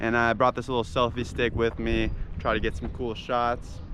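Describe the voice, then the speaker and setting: The man's voice is heard with noticeable background noise. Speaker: vlogger. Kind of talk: vlog intro. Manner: loud.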